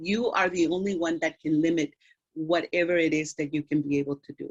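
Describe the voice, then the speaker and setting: A woman with a fairly low pitch speaks at a moderate pace in a dry, close sound with no echo. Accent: Spanish. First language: Spanish. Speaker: doctor speaking at school career day. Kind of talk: career talk to students. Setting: video call.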